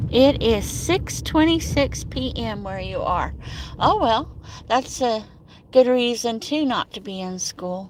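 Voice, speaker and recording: Speaking at a very slow pace, a woman's loudness swings widely over noticeable background noise. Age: 60s. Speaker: livestream host. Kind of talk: casual chat.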